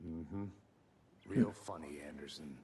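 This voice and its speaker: Growling in a put-on character voice, a man speaks very deep and low at a moderate pace. Clear background noise is present. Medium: video game. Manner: deadpan, laconic.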